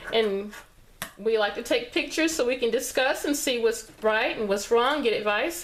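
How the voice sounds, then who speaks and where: A woman with a Texas accent, moderate pace and lively intonation. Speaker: sewing tutorial creator. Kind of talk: tutorial. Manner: casual, conversational with fillers.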